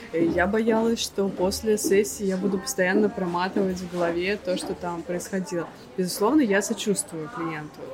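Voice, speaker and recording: Noticeable background noise sits behind the voice. A woman talks at a medium pitch. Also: ordinary pitch variation, moderate pace. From Russia, St Petersburg. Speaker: psychologist. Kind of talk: casual interview.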